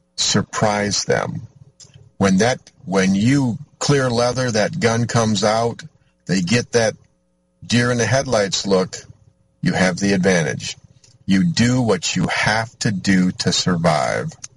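In an American accent, the speaker goes at a very slow pace with long, frequent pauses, lively intonation and very even loudness. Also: man, medium pitch for a man. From US Midwest, Michigan. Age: 50s. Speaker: radio host. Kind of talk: talk radio monologue. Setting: in a vehicle on location.

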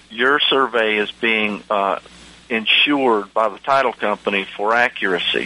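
With an American accent, a man speaks at medium pitch and a moderate pace. His pitch varies an ordinary amount over noticeable background noise. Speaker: attorney and land surveyor, radio host. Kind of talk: educational radio talk show monologue. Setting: radio studio broadcast. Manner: relaxed, hesitant, filler-heavy.

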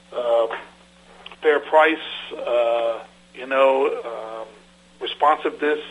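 Against noticeable background noise, a man with a fairly high pitch speaks at a very slow pace. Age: 50s. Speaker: land surveyor and firm owner. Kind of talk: radio interview.

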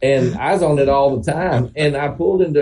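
Fairly high in pitch for a man, with a Southern US accent, a dark, mellow tone, a somewhat breathy quality and lively intonation. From Oklahoma. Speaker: classic car dealer and auctioneer. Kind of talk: casual chat.

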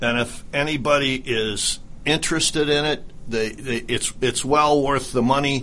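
Using a normal speaking voice, a man talks at a moderate pace with a medium pitch and fairly even intonation. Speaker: radio co-host. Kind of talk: casual radio chat.

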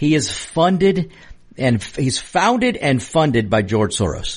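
A man speaks in a somewhat breathy voice with very wide pitch swings. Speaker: radio host. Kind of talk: opinionated talk radio monologue, political commentary. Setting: studio. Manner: animated, emphatic, repeats words for emphasis; conversational, fiery, addresses listeners directly.

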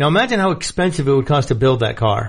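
There is noticeable background noise as a man with an American accent speaks with lively intonation. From New York. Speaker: gun radio host. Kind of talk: radio host patter, opening with a scripted station ID then riffing on gun news.

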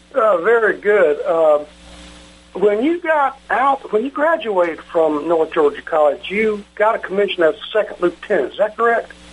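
A man with a high pitch swings it very widely, with noticeable background noise behind him. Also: moderate pace. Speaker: radio host. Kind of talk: interview.

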